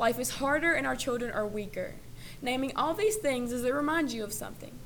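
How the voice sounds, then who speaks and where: Her pace is very fast and her voice fairly high. This woman's intonation is lively. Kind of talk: spoken word poem performance, delivered as a defiant letter. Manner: animated, biting and sarcastic, turning defiant and forceful.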